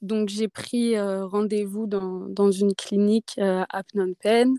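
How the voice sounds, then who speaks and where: On a very clean recording with a silent background and a dry, close sound with no echo, a woman at medium pitch speaks at a very slow pace in a dark, mellow tone with monotone, flat intonation. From Auvergne, France (near Clermont-Ferrand). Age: 20s. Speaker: traveller. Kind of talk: testimony.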